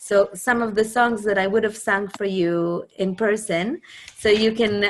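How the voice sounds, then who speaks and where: In an Israeli accent, a woman speaks with fairly even intonation. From Israel, Jerusalem. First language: Hebrew. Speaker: singer and composer. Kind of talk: talk introducing a music program.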